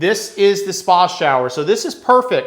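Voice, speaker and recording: A man mumbles. His pitch is high. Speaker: real estate broker. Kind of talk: home tour walkthrough. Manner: casual.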